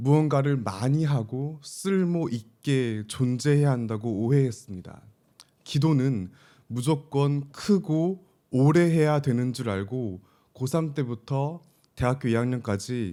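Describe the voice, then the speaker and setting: Over a silent background in a very clean recording, a man speaks very slowly at a medium pitch, his tone dark and mellow and his intonation lively. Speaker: pastor. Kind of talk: sermon.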